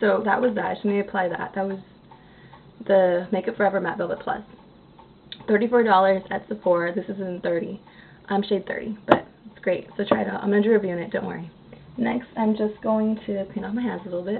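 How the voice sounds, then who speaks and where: A woman of medium pitch talks at a very fast pace in a monotone, flat delivery. Noticeable background noise runs underneath. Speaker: beauty vlogger. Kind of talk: makeup tutorial. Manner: hesitant, many fillers.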